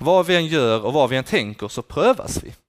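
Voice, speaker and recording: A man talking at a fairly quick pace with very wide pitch swings, in a dry, close recording with no echo. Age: 20s. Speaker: student teacher giving a sermon. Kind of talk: sermon.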